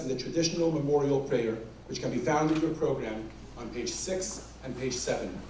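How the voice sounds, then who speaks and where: A man of fairly high pitch at a moderate pace, ordinary pitch variation, noticeable background noise. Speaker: rabbi, event master of ceremonies. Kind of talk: event MC introduction to live audience. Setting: live event hall.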